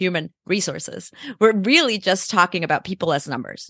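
Against a quiet background, the voice sounds bright and sharp, with lively intonation and a dry, close quality free of echo. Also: woman. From El Salvador. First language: Spanish. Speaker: nonprofit CEO. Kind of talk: interview.

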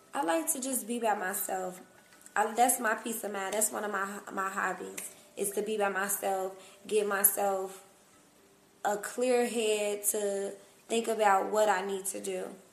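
A woman speaks at a fairly slow pace with a medium pitch and fairly even intonation, leaving long, frequent pauses amid noticeable background noise and audible room echo. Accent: American. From Cincinnati, Ohio, US Midwest. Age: young. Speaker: entrepreneur. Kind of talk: casual interview.

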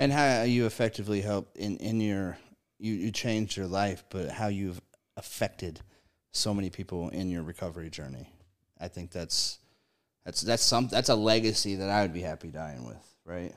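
In a very clean recording with a silent background, a man speaks at a moderate pace with a fairly low pitch. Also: ordinary pitch variation. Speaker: podcast host in addiction recovery. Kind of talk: casual chat. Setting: studio. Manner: animated.

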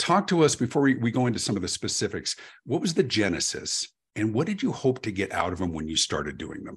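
The speech is very fast, with very wide pitch swings. Vocal fry runs through the voice. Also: man, medium pitch for a man. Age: 50s. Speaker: podcast host, customer experience speaker. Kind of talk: interview conversation. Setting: video call. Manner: halting, repeats words.

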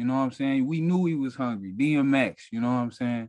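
Here is a man with an ordinary speaking voice and an American accent. His pitch is medium and varies in an ordinary way. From Detroit. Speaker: rapper. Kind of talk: casual interview.

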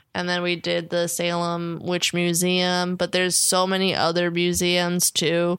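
A woman speaks in a plain, everyday voice with an American accent, her pitch medium and her pace fairly slow. The recording is very clean with a silent background. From New Jersey. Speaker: stand-up comedian. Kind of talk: casual chat.

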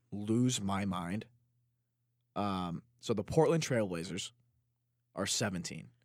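In a very clean recording with a silent background, a man with an American accent speaks at a very slow pace and a fairly low pitch with ordinary pitch variation. He pauses long and often. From Chicago. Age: 20s. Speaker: sports podcast co-host. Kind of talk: casual chat.

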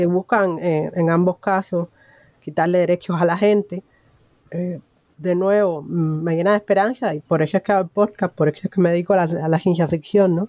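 Recorded with a dry, close sound and no echo, a woman speaks at a moderate pace in a fairly low pitch, her tone dark and mellow, her loudness very even and her intonation fairly even. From Cuba. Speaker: podcast host. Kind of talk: interview.

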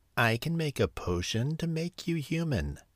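A man does a put-on character voice with a hiss, pitched fairly high and delivered at a moderate pace. The recording is very clean, with a silent background. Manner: hissing, sinister.

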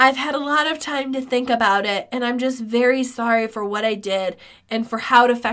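At a moderate pace, a woman uses a shaky, put-on character voice pitched high, on a very clean recording with a silent background. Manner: quivering, tearful, rising in pitch.

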